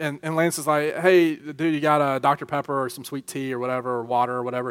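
Speaking at a fairly quick pace with a Southern US accent and hardly any pauses, this voice comes through on a very clean recording with a silent background. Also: man. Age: 30s. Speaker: youth pastor. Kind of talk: sermon. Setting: church youth group with live audience. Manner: animated.

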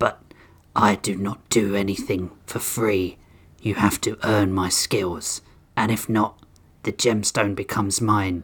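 Using a put-on character voice, a man sounds raspy and fairly low in pitch, talking at a fairly slow pace on a very clean recording with a silent background. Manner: haughty, demanding a price.

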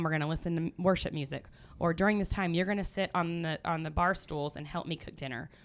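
In a very clean recording with a silent background, a woman with a normal speaking voice talks at a fairly quick pace, her pitch fairly low and its variation ordinary. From US Midwest. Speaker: family ministry leader. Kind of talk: casual chat.

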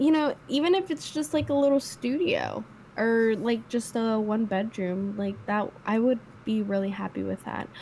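A woman speaks at a fairly slow pace in a somewhat breathy, dark, mellow tone, her fairly high pitch moving with lively intonation. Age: 20s. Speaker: podcast co-host. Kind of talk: casual chat.

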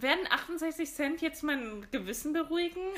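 A woman talks in a raised, projected voice. She keeps a fairly slow pace. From Germany. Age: 20s. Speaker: podcast co-host. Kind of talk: casual chat.

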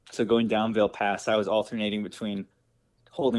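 At a moderate pace, the speaker has an unremarkable speaking voice with an American accent. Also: man. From Wisconsin, US Midwest. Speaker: long-distance cyclist and social media vlogger. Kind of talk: interview, casual chat.

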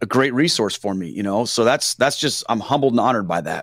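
Speaking at a fairly quick pace, a man with medium pitch and ordinary pitch variation sounds dry and close with no echo, in a very clean recording with a silent background. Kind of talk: casual interview. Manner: plain, down-to-earth speaking.

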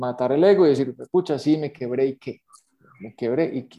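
At a moderate pace, a man with a fairly high pitch speaks in a dark, mellow tone. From Colombia, Manizales. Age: 50s. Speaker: entrepreneur. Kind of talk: interview testimony.

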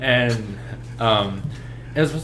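A man talks at a medium pitch with ordinary pitch variation. The recording has audible room echo and noticeable background noise. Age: 20s. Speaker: podcast guest, musician. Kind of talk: casual chat.

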